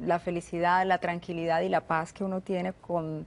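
Her voice is fairly low and monotone, with flat intonation. The woman keeps a moderate pace. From Colombia, Medellín. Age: 30s. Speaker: radio host. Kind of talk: TV interview.

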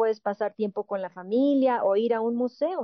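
A woman at a moderate pace with ordinary pitch variation, dry sound with no echo and a quiet background. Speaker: entertainment show host. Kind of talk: panel show conversation and interview. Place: studio.

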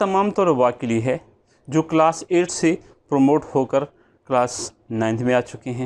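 A man is speaking here. His pace is fairly slow. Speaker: math teacher. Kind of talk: lecture introduction. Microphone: lapel.

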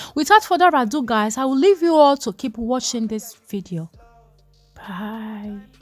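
Music plays in the background as a woman speaks at a fairly slow pace and a fairly high pitch. Her loudness swings widely, and her pitch swings are very wide. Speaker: lifestyle vlogger. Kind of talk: casual vlog talk.

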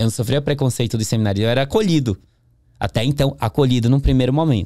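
With a quiet background and a dry sound with no echo, a man speaks at a medium pitch in a dark, mellow tone with ordinary pitch variation. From northern Brazil, interior of Pará (Capanema); Pará, Brazil. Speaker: podcast guest. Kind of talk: interview testimony. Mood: calm reflective storytelling. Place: studio. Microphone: studio mic.

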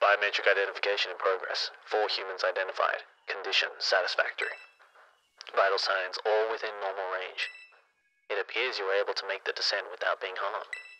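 At a fairly quick pace, a man performs a robotic, put-on character voice. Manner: flat, mechanical.

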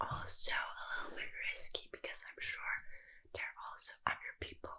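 At a moderate pace, a woman is whispering. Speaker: streamer. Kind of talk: intimate direct-to-camera chat. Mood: soft, flirty, playful. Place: home room. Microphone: webcam.

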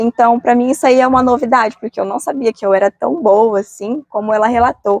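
A woman's plain, everyday voice, fairly high in pitch with ordinary pitch variation, at a fairly quick pace with hardly any pauses, in a dry, close sound with no echo. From Brazil. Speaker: culture sector coordinator and dance choreographer. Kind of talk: interview.

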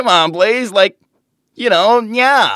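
Putting on a cartoonish character voice, a man talks slowly in a high pitch with a bright, sharp tone.

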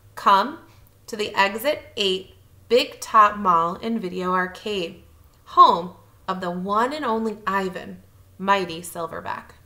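A woman at medium pitch, bright and sharp in tone, slow-paced with lively intonation and audible room echo

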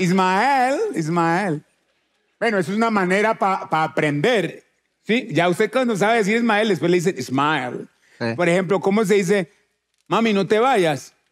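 A man speaks with lively intonation at a high pitch for a man and a moderate pace. His loudness stays very even over a quiet background. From Colombia, Chocó. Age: 40s. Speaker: musician; talk show guest. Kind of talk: casual chat. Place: stage. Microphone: headset.

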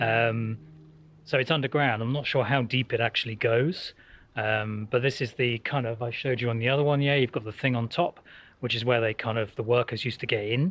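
At a fairly quick pace, a man speaks at a medium pitch with fairly even intonation and a fairly bright tone.

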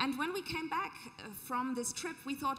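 A woman speaks in a raised, projected voice with a high pitch and ordinary pitch variation. Her pace is fairly quick. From Germany, Hamburg; Germany. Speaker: social entrepreneur, anthropologist; panelist. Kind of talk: panel discussion. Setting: stage with audience. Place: stage. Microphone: handheld.

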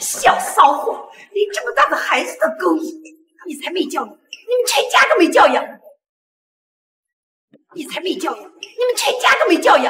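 Here is a put-on character voice with a fairly bright tone and big pitch swings. It goes at a moderate pace, with audible room echo. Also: woman, extremely high pitch for a woman.

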